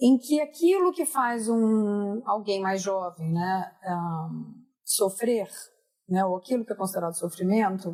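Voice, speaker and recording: Speaking at a fairly slow pace, a woman with a dark, mellow tone and medium pitch uses lively intonation. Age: 50s. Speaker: podcast host. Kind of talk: casual chat.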